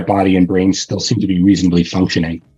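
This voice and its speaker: A man is speaking. He has a New York accent. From New York, Long Island. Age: 60s. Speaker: herbalist and teacher. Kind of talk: interview.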